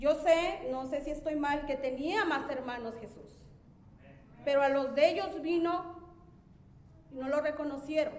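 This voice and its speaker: With noticeable background noise and audible room echo, a woman speaks at a high pitch and a fairly slow pace, her loudness swinging widely and her long pauses frequent. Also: ordinary pitch variation. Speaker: church member preaching. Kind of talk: sermon.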